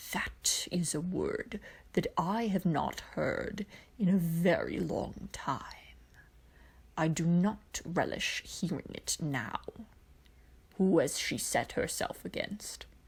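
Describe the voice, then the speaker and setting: Whispering in a put-on character voice, a woman speaks at a very slow pace. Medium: read story. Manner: dangerously mild, cold.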